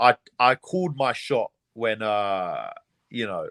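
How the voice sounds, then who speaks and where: A man with a British accent at medium pitch, in a dry, close sound with no echo. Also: quiet background. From England, London. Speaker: MMA fighter. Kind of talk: interview. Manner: casual, repeats words often.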